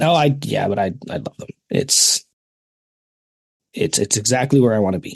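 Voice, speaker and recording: In a dry, close recording with no echo, a man of medium pitch speaks at a moderate pace with vocal fry, long and frequent pauses, very wide pitch swings and big swings in loudness. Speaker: podcast co-host. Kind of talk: casual chat.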